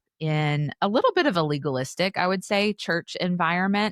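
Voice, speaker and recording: Recorded very cleanly with a silent background and a dry, close sound without echo, a woman with a fairly low voice speaks in an East Tennessee accent with ordinary pitch variation. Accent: Southern US (East Tennessee). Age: 30s. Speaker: author and podcaster. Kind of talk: interview conversation. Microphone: professional podcast mic.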